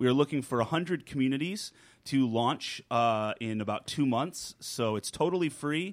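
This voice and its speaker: An ordinary speaking voice from a man, fairly high in pitch, with lively intonation at a moderate pace, in a very clean recording with a silent background. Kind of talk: interview. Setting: studio.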